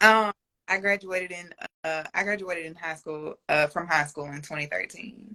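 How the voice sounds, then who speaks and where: A woman speaks at a moderate pace with a fairly low pitch and ordinary pitch variation. Her tone is bright and sharp, and her loudness swings a lot. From Louisiana. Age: 20s. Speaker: sneaker enthusiast, interview guest. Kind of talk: casual interview chat. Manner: hesitant, many fillers.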